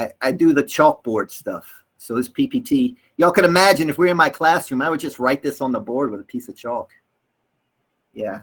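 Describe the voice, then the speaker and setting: With a Southern US accent, a man speaks in an animated tone at a moderate pace. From US South, North Carolina. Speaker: English teacher trainer. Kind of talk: workshop lecture.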